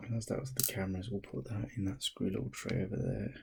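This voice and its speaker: A soft-spoken voice at a very fast pace. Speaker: tech hobbyist doing a repair video. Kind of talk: casual tutorial. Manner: soft-spoken, talking quietly; casual with fillers and hesitations.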